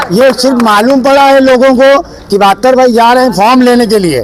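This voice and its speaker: Against noticeable background noise, a man speaks at an extremely high pitch with fairly even intonation and a moderate pace. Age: 60s. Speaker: local supporter of a candidate. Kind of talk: street interview.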